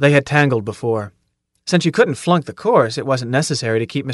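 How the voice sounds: The background stays quiet behind a natural reading voice.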